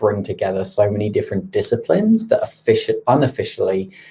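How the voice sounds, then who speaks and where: In a British accent, a man talks at a moderate pace. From UK. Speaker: product marketing leader. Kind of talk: webinar presentation. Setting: live online stream. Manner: hesitant, many filler ums.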